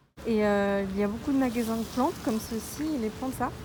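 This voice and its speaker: A plain, everyday voice from a woman, fairly high in pitch, at a moderate pace with ordinary pitch variation. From Paris, France. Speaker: researcher and swing dancer. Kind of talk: casual vlog talk to camera.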